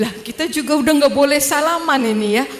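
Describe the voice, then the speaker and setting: A woman with a Javanese accent at a moderate pace, ordinary pitch variation, and noticeable background noise. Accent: Javanese-accented Indonesian (medok). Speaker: dentist, convert sharing her story. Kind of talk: testimony talk to audience. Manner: casual, conversational.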